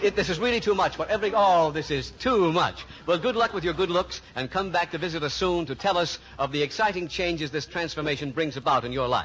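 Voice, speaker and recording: Amid noticeable background noise, a high-pitched man rattles on at a very fast pace with hardly any pauses and ordinary pitch variation. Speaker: radio show host. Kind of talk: radio game show host interview.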